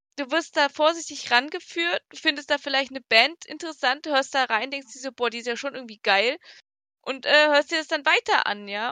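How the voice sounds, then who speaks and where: A woman projects a raised voice at a high pitch and moderate pace, her bright, sharp tone showing ordinary pitch variation and big swings in loudness, in a dry, close sound with no echo. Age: 20s. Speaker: podcast co-host. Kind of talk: casual chat.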